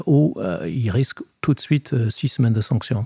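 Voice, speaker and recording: The recording is dry and close, with no echo at all. A man talks at a medium pitch, his pitch varying in an ordinary way. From Scotland. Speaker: sports lawyer. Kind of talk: interview. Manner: hesitant, many fillers.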